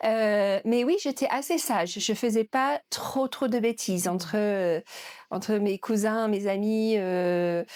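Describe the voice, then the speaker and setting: A speaker with an English accent talks at a very slow pace, with very even loudness and ordinary pitch variation. The recording is very clean, with a silent background and a dry, close sound with no echo. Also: woman, fairly high pitch for a woman. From northern England, Yorkshire near Leeds. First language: English (speaking French). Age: 50s. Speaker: museum director. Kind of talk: interview. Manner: hesitant, many fillers.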